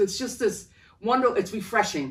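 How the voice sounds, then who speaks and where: Vocal fry runs through the woman's voice. She talks at a moderate pace. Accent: Rhode Island. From Providence, Rhode Island, US. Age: 70s. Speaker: artist. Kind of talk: casual interview.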